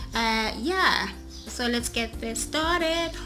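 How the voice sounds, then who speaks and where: A woman speaks in a high voice with ordinary pitch variation while faint music plays in the background. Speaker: beauty vlogger. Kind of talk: casual vlog chat. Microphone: phone near.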